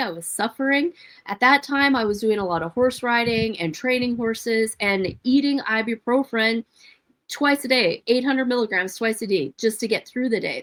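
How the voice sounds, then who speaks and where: A woman with an American accent speaks at a fairly high pitch and moderate pace, in a normal speaking voice with ordinary pitch variation and a dry, close sound with no echo. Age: 50s. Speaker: nurse and health coach. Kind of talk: live stream monologue. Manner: casual, rambling.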